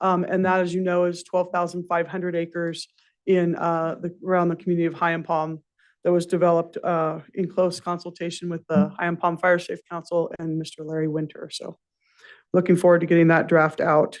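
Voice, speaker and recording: Fairly quick speech over a quiet background. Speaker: forest service official. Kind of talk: public meeting report. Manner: fast.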